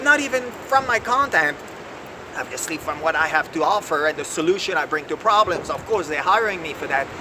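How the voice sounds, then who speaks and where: Over noticeable background noise, a man talks in an animated tone at a high pitch, with very wide pitch swings. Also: fairly quick pace. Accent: French. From France. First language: French. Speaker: executive coach. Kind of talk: video lesson.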